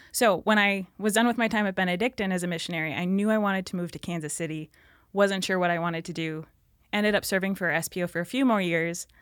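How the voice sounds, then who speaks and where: Speaking at a very fast pace, a woman with an Upper Midwest accent and medium pitch uses fairly even intonation on a very clean recording with a silent background. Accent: Upper Midwest (Minnesota). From northern Minnesota, rural. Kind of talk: faith testimony in casual interview.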